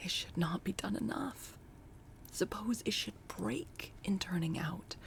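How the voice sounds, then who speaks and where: Whispering at a fairly slow pace, the voice keeps a calm tone. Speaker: booktube reader. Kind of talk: audiobook reading of a classic novel, cozy holiday cold read. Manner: soft-spoken, calm storytelling.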